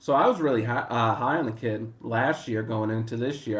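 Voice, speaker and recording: Here a man speaks with a Boston accent. His pitch is medium, with ordinary variation. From Boston area, US. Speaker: sports betting handicapper. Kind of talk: casual chat. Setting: live stream.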